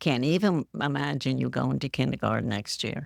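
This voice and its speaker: A woman's voice with a dry, close sound and no echo. The recording is very clean, with a silent background. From Poughkeepsie, New York. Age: 80s+. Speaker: retired nurse. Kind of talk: interview answer. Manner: hesitant.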